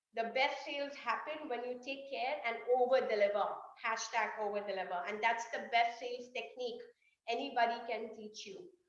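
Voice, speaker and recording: With an animated tone and fairly high pitch, a woman speaks with ordinary pitch variation and big swings in loudness amid audible room echo. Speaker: sales trainer. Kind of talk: online workshop. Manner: fast.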